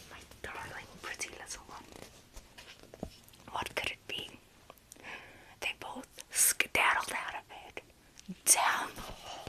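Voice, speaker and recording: A woman's soothing whisper at a very slow pace, with long, frequent pauses and big swings in loudness, over noticeable background noise. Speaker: ASMR creator roleplaying a mom. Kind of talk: whispered bedtime story reading. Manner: whispered, soft, soothing.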